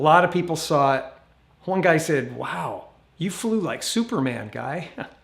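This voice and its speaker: A fairly high-pitched man with an American accent, lively intonation and a moderate pace, with audible room echo. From Northern California. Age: 60s. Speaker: YouTuber. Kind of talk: live stream chat. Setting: outdoors.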